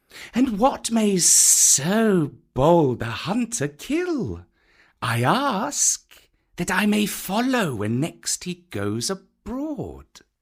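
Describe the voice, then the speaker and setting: Putting on a character voice, a man speaks very slowly at a high pitch with very wide pitch swings. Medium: read story. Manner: slow, hissing, sly.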